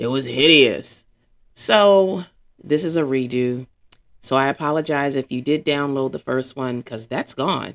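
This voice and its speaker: At a fairly slow pace, a woman talks in a very deep, low voice with ordinary pitch variation. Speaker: podcast host. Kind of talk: casual monologue. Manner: rambling, off-the-cuff; sleepy-sounding.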